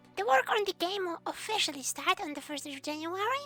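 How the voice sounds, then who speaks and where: A raised, projected voice with a bright, sharp tone, lively intonation and a moderate pace. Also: woman. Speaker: community news host. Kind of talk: gaming community news broadcast.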